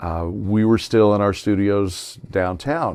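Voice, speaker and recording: At a very slow pace, a man speaks in a fairly low pitch with an American accent. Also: quiet background. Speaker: veteran radio broadcaster. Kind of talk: interview answer, storytelling. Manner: conversational, professional radio voice.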